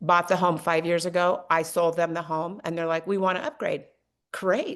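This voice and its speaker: A woman with a plain, everyday voice, fairly low in pitch, at a moderate pace with fairly even intonation against a quiet background. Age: 60s. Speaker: realtor. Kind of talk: podcast interview.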